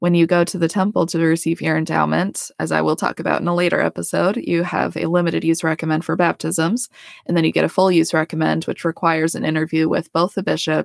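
A woman talks very fast with an American accent. The recording is very clean, with a silent background and a dry, close sound with no echo. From Colorado. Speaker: podcast host, dental hygienist. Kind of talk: personal storytelling monologue.

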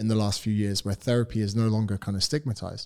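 A man with a British accent at a fairly quick pace, in a dry, close sound with no echo. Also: very clean recording, silent background. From United Kingdom. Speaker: personal trainer. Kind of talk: casual interview chat.

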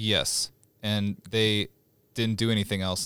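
A man with an American accent and an unremarkable speaking voice talks at a moderate pace and a fairly low pitch. The recording is very clean, with a silent background. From Stillwater, Oklahoma. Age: 20s. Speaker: musician. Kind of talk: casual chat.

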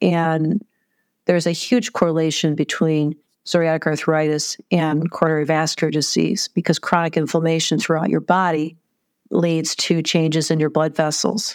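Pitched very deep and low, a woman speaks with very even loudness and fairly even intonation on a very clean recording with a silent background. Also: moderate pace. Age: 50s. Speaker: heart surgery patient. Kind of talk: interview storytelling.

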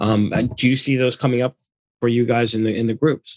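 A man talks in a normal speaking voice at a medium pitch and a fairly quick pace. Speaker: attorney co-host. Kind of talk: podcast interview.

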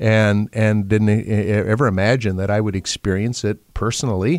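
A man with an American accent speaks at a moderate pace in a plain, everyday voice, his pitch fairly low, on a very clean recording with a silent background. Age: 60s. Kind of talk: interview. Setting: studio.

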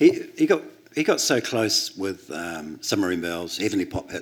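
In a New Zealand accent, a man speaks at a moderate pace. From New Zealand, Christchurch. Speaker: record label founder and author. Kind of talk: onstage interview. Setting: stage with audience.

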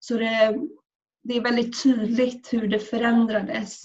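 A woman speaks in a somewhat breathy voice at a fairly high pitch. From Sweden. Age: 20s. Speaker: student and activist. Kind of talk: personal testimony. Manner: halting.

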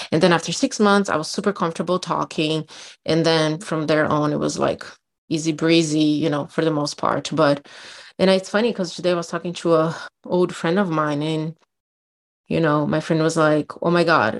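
Speaking at a moderate pace with a Brazilian accent, a woman uses a very deep, low pitch and fairly even intonation against a quiet background. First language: Portuguese. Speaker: podcast co-host. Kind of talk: casual chat.

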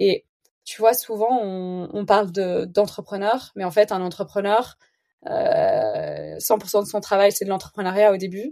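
A woman speaks in a dark, mellow tone. Her pitch sits in the medium range. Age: 30s. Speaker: entrepreneur, founder of an online organic grocery. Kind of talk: casual interview conversation.

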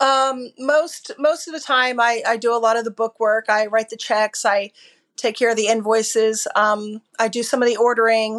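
A woman speaks with a plain, everyday voice at a fairly high pitch. She has an American accent. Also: quiet background. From Florida (Bradenton area). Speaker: family business co-owner, butcher and grocery store. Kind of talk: interview.

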